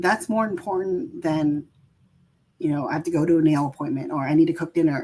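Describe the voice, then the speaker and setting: With a West Coast accent, this voice has a dark, mellow tone, moves at a fairly quick pace, and shows ordinary pitch variation. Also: woman, fairly low pitch for a woman. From San Francisco Bay Area, US. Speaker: caregiver and healthcare worker. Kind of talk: interview. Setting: video call. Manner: many fillers and restarts.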